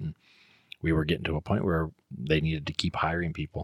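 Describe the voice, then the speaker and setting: Recorded dry and close with no echo, a man with an American accent speaks at a moderate pace in a very deep, low pitch and a flat monotone. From US West Coast. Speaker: school counselor and teacher. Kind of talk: casual chat.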